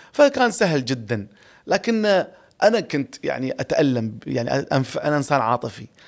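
In a quiet background, a man talks at a fairly slow pace. His fairly high pitch swings very widely. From UAE, Ras Al Khaimah; UAE. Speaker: radio and TV presenter; radio, TV presenter. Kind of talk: podcast interview. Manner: expressive, exaggerated tone. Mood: reflective, warm. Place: studio. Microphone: studio mic.

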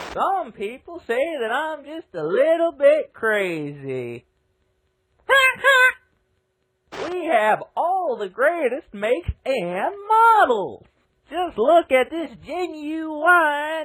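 A loud, high put-on character voice with very wide pitch swings. The pace is very slow. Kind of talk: cheesy TV commercial. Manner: loud, manic, overexcited.

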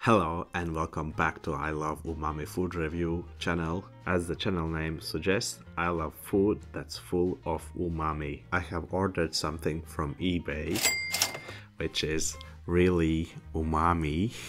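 Fairly slow speech from a man with a very deep, low pitch, faint music behind. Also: fairly even intonation. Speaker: food reviewer. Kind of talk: casual vlog chat. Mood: cheerful, playful. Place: home room. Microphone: studio mic.

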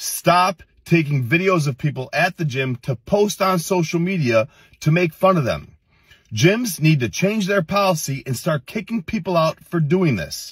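At a moderate pace, a man speaks against a quiet background in a dry sound with no echo. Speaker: fitness content creator. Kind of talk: reaction commentary. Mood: irritated, scolding. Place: car. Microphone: phone near.

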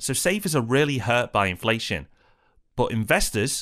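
Recorded very cleanly against a silent background, a man speaks with a British accent. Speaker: property investment educator. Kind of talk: scripted educational presentation.

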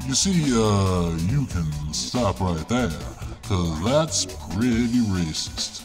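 With clear music in the background, a man uses a put-on character voice that is very deep and low, speaking at a very slow pace. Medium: machinima. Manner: calm, matter-of-fact, mildly indignant.

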